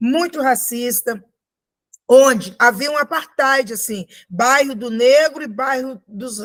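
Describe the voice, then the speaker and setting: Speaking very slowly, a woman uses a high-pitched voice. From Brazil, Minas Gerais (Sabará). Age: 60s. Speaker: actress. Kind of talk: podcast interview.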